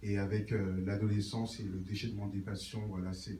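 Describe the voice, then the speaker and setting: Over noticeable background noise and audible room echo, a man speaks in a monotone, flat way at a fairly low pitch. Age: 20s. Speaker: church member giving testimony. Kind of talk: testimony. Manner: halting, many filler words.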